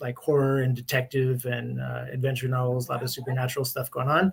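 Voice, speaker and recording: This man has a medium pitch and an American accent, and his voice sounds somewhat breathy. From US West Coast, Berkeley, California. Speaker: publisher. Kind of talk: interview. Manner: hesitant, many fillers.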